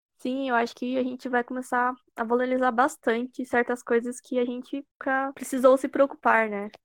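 A woman with a high-pitched voice speaks at a moderate pace in a flat monotone, the sound dry and close with no echo. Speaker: student podcast host. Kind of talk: casual interview.

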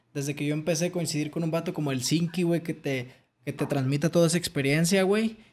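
Very fast speech from a man with a fairly high pitch and fairly even intonation. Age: 20s. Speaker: podcast host. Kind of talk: casual chat.

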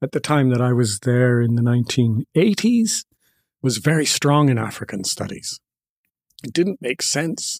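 In a normal speaking voice with lively intonation, the speech runs at a moderate pace in a dry, close sound with no echo. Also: man. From Canada. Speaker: professor and novelist. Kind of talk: interview.

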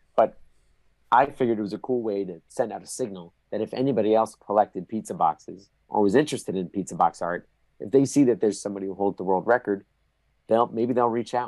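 Recorded dry and close with no echo against a silent background, a man talks very fast at a medium pitch with ordinary pitch variation. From New Jersey. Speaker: pizza tour guide. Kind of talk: casual chat. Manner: animated.

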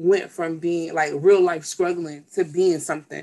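A woman with an American accent talks at a moderate pace in a fairly low pitch. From Miami, Florida. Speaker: podcast co-host. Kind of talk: casual chat. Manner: animated.

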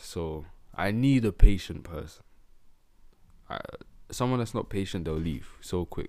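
With long, frequent pauses and big swings in loudness, a man with a very deep, low pitch talks at a fairly slow pace in an animated tone and lively intonation. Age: 20s. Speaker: podcast co-host. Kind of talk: casual chat.

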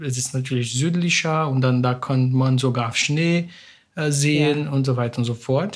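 In a very clean recording with a silent background, a man with a Portuguese accent speaks fairly slowly in a fairly high, somewhat breathy voice with fairly even intonation. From Brazil. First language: Portuguese (speaking German). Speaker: academic, immigrant. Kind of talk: interview.

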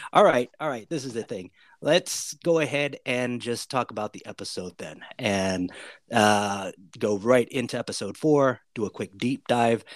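A man with an ordinary speaking voice and an American accent speaks fairly slowly at a medium pitch, with lively intonation and big swings in loudness, on a very clean, dry, close recording with no echo and a silent background. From USA. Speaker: podcast host. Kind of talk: casual chat.

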